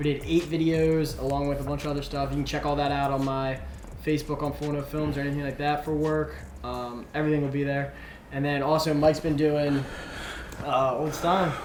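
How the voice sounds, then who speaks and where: A man speaks at a fairly quick pace with a fairly high pitch and monotone, flat intonation. Audible room echo and noticeable background noise fill the recording. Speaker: gaming show co-host. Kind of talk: casual chat. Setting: live stream.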